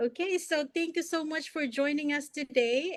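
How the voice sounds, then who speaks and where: The pitch of a woman's voice rises and falls in an ordinary way. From Philippines. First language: not English. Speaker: online business mentor, interviewer. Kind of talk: live online interview.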